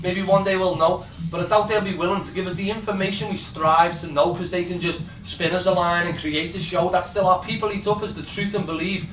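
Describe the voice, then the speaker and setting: An angry man in a Liverpool accent, high-pitched and fairly quick, with fairly even intonation and noticeable background noise. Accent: Scouse. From Liverpool, England. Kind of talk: spoken word poetry performance. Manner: angry, impassioned.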